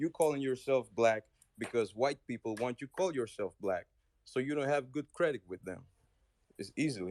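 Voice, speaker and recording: A man with a non-native accent speaks at a medium pitch and a moderate pace. His pitch variation is ordinary, and the sound is dry and close with no echo. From outside the US. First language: not English. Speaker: caller in an online audio room. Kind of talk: heated debate. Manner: halting.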